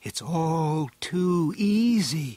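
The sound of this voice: A man puts on a character voice, fairly high in pitch with a dark, mellow tone. His intonation is lively and his pace very slow.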